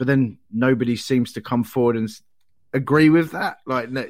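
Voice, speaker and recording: A man speaks in an English accent. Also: very clean recording, silent background. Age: 40s. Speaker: comedian. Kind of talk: casual chat.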